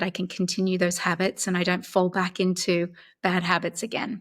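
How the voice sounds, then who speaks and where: In an Australian accent, a woman speaks at a moderate pace and medium pitch with monotone, flat intonation. The recording is very clean, with a silent background. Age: 50s. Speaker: actress. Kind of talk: interview answer.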